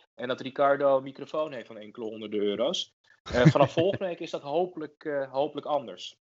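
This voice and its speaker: A man at a very fast pace, fairly high in pitch, with ordinary pitch variation and big swings in loudness. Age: 30s. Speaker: podcast co-host. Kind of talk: casual chat. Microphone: cheaper mic, quieter than co-host.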